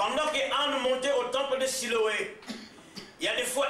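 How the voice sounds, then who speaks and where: A man shouting in a raised, projected voice at an extremely high pitch, with a Congolese accent, audible room echo and noticeable background noise. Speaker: visiting preacher. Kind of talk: sermon. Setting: church service. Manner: loud, shouting; halting, repeats words.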